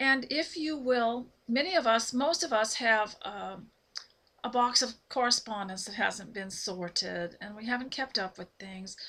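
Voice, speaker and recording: A woman speaks at a fairly slow pace in a fairly high voice with a bright, sharp tone, lively intonation and big swings in loudness. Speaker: homemaking vlogger. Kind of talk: casual talk to camera. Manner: unscripted, halting with fillers.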